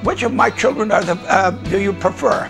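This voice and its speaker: Clear background music under a man's fairly quick speech. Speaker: winemaker. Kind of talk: interview answer. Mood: warm, relaxed. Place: home room. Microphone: lapel.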